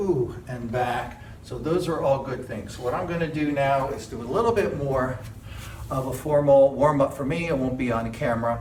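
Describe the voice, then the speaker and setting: Noticeable background noise and audible room echo surround a man's voice. He speaks at a moderate pace with a fairly high pitch and ordinary pitch variation. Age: 60s. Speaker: jazz and tap dancer vlogger. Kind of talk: casual video diary while exercising. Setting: dance studio. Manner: conversational, with effort sounds and pauses.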